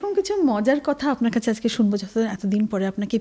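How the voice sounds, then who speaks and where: A woman's voice with lively intonation. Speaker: talk show host. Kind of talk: show host introduction.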